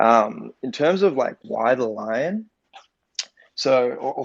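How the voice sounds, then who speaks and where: A man speaks with an Australian accent. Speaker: NFT project co-founder. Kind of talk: casual interview chat. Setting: online audio room. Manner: filler-heavy, halting.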